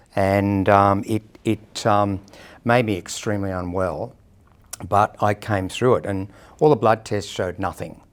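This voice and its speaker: A man with an Australian accent speaks at a fairly slow pace in a fairly low pitch, his intonation fairly even, on a very clean recording with a silent background. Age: 60s. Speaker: person living with HIV sharing experience. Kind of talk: personal testimony interview. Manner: hesitant, with frequent fillers.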